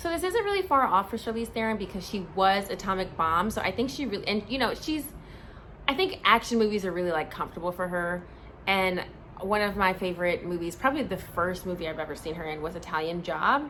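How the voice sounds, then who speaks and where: A woman talks at a very fast pace in an animated tone, her voice at a medium pitch. Her intonation is lively, and background noise is noticeable. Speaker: movie reviewer vlogger. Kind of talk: casual vlog review. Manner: chatty, animated.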